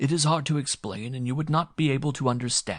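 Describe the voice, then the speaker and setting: Using a put-on character voice, a man talks at a fairly quick pace in a fairly high pitch. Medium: read story. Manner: formal, stilted speech without contractions; polite, calm, dignified.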